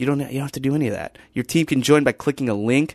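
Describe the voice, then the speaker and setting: Here is a man with a plain, everyday voice, fairly high in pitch, with fairly even intonation. The sound is dry and close with no echo, and the background is quiet. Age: 20s. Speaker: podcast host. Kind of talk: casual chat.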